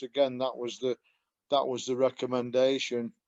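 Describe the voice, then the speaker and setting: A man's medium-pitched voice with a Yorkshire accent, at a fairly quick pace, in a dry, close sound with no echo. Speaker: customer giving product testimonial. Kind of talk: testimony. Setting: call. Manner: halting, many fillers.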